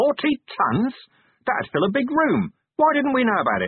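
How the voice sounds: Using a put-on character voice, a man speaks at a moderate pace with extremely high pitch and very wide pitch swings. The sound is dry and close with no echo, with a slightly husky edge.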